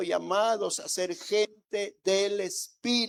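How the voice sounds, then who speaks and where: This man talks at a very slow pace with a high pitch. His intonation stays fairly even. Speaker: pastor. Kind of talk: sermon. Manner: soft-spoken.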